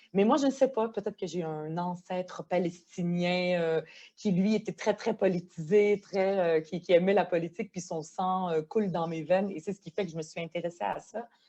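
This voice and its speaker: Her tone comes across dark and mellow. This woman's pitch sits fairly low. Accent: Quebec. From Quebec, arrived from Lebanon at age ten. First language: Arabic (speaking French). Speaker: politician, member of provincial legislature. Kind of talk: podcast interview. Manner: hesitant, many fillers.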